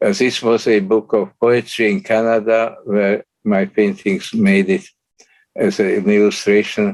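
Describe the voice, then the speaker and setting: Fairly slow, monotone and flat speech from a man. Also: very even loudness. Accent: Slovak. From Slovakia. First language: Slovak. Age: 90s. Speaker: Holocaust survivor and artist. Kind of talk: lecture. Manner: halting.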